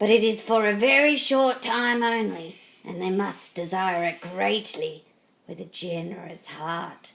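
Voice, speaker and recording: Putting on a character voice, a woman sounds raspy, with medium pitch and lively intonation. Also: fairly slow pace, big swings in loudness. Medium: read story.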